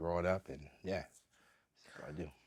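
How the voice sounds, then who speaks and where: An American accent with fairly even intonation on a very clean recording with a silent background. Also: man. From Southeast Washington, D.C. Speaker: jazz saxophonist. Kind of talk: oral history interview answer. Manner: casual, conversational.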